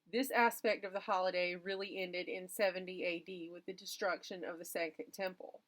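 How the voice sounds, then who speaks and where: A woman with a Southern US accent talks at a moderate pace and a medium pitch. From US South. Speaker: educational YouTuber. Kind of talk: educational talk.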